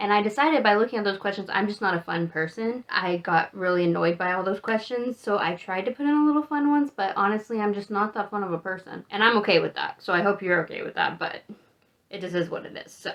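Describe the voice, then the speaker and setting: Speaking at a very fast pace, a woman shows ordinary pitch variation. Her loudness swings widely. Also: medium pitch for a woman. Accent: American. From Texas, Amarillo (Panhandle). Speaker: travel vlogger. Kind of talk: casual monologue.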